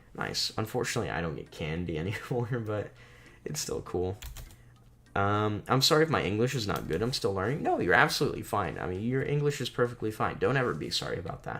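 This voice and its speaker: A man talks very fast with lively intonation and a fairly low pitch. His voice carries vocal fry. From South Florida, US. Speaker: streamer / bakery worker. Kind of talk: casual chat. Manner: casual, halting with fillers.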